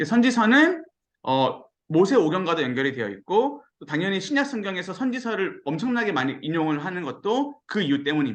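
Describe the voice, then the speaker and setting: A man speaks with very wide pitch swings. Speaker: pastor. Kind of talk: sermon-style Bible lecture. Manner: fast when excited; animated.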